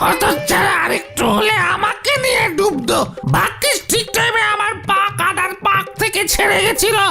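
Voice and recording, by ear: A cartoonish character voice at a fairly slow pace over loud background music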